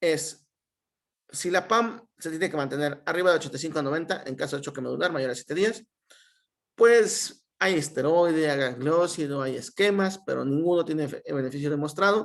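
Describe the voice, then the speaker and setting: Ordinary pitch variation marks a man's fairly high-pitched speech. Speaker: medical resident. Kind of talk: lecture. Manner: fast.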